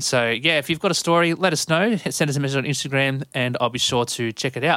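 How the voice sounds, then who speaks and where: This man has an Australian accent and a fairly high pitch with ordinary variation. The recording is very clean with a silent background. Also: dry, close sound with no echo. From Sydney, Australia. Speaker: podcast host. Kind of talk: podcast intro monologue.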